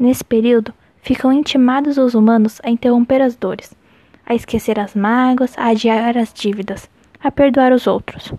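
Speaking at a high pitch in a dark, mellow tone, a woman keeps a moderate pace and fairly even intonation, the sound dry and close with no echo. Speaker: podcast host reading a chronicle aloud. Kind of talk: literary audiobook reading, a written chronicle read aloud in a measured, expressive way. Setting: late-night home recording, solo. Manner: intimate, earnest, heartfelt tone.

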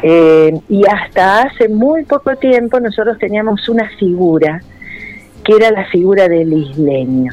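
A woman with a medium pitch talks at a fairly slow pace, her voice making very wide pitch swings over noticeable background noise. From Santa Fe, Argentina. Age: 60s. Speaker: ceramicist and art school director. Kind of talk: radio interview.

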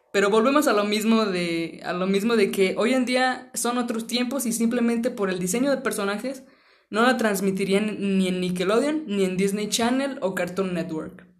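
A woman with a Mexican accent, fairly high in pitch, at a moderate pace, with audible room echo. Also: ordinary pitch variation. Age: 20s. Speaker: podcast host. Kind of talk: casual chat.

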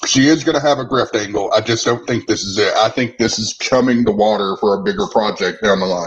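Hardly pausing, a man talks at a fairly quick pace in a normal speaking voice. His medium pitch shows ordinary pitch variation. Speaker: online political commentator. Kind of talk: casual chat. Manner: brash.

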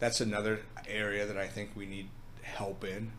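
With an American accent, a man with a fairly low pitch speaks with fairly even intonation amid audible room echo. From Minnesota. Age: 50s. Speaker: food business owner. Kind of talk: casual interview.

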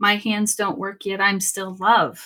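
In a plain, everyday voice, a woman with an American accent speaks at a medium pitch and a fairly slow pace. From Sacramento, California. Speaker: podcaster living with chronic pain. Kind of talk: casual interview.

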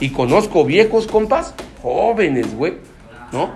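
Here a man with a Mexican accent speaks in an animated tone at a high pitch, with very wide pitch swings. There is noticeable background noise. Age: 30s. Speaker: recovering alcoholic speaker at AA meeting. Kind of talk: testimony talk at support group meeting. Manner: casual, slang-heavy, animated.

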